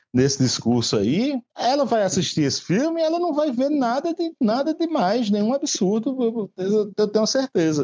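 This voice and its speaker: A man at a fairly slow pace with very wide pitch swings. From Brazil, Paraíba backcountry (Patos). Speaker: comic book author. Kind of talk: casual interview. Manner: halting, many repeated words.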